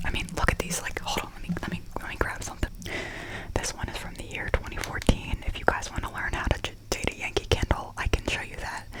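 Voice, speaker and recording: A very fast whisper comes through noticeable background noise. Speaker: ASMR creator. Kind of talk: ASMR candle haul review. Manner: whispered.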